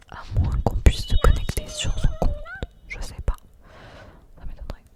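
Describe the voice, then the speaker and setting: Whispering from a woman, moderate in pace, with noticeable noise in the background. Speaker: ASMR content creator. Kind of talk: casual talk to camera. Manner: soft-spoken, close-mic whisper.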